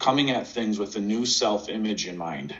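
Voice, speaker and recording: A man talks in an unremarkable speaking voice. It is fairly low-pitched and moves at a moderate pace. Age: 50s. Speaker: sales and mindset coach. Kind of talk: casual interview.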